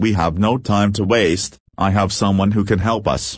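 Using a raspy put-on character voice at a fairly low pitch, a man speaks at a moderate pace in a monotone, flat intonation against a quiet background. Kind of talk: audio drama dialogue.

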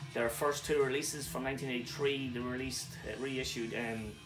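Music plays in the background. A man speaks with ordinary pitch variation. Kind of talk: casual vlog chat. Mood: enthusiastic. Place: home room.

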